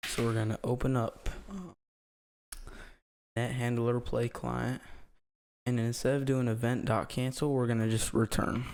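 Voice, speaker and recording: The voice is quiet and fairly slow, broken by long, frequent pauses. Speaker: programming tutorial maker. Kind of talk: coding tutorial narration. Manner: quiet, breathing hard.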